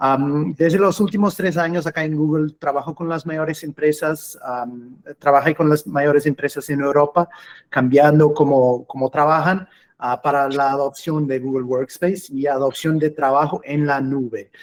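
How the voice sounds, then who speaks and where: The speaker has a Portuguese accent and a fairly slow pace. The intonation stays fairly even. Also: man, fairly high pitch for a man. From Portugal. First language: Portuguese (speaking Spanish). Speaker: cloud customer engineer. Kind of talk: webinar presentation. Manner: hesitant, with fillers.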